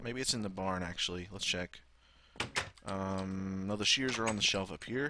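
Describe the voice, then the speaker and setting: A man with an American accent, fairly low in pitch, bright and sharp in tone, at a moderate pace with ordinary pitch variation. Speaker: gaming YouTuber. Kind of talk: let's play commentary. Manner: casual, animated.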